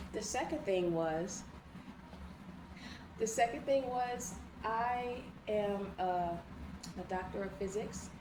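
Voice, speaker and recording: A woman of medium pitch speaks very slowly in a calm tone, with long, frequent pauses and ordinary pitch variation, amid noticeable background noise and audible room echo. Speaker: online teacher. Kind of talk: lecture. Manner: slow and calm; repetitive.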